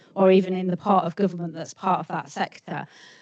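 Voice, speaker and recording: A woman with a medium-pitched voice talks at a fairly quick clip over noticeable background noise. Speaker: senior rail sector leader. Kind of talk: panel discussion.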